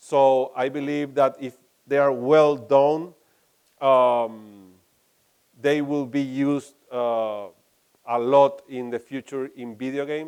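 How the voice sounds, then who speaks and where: A man speaks at a very slow pace in a fairly high, flat monotone, with long, frequent pauses and big swings in loudness. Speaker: game studio CEO. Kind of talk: conference talk and Q&A. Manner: halting.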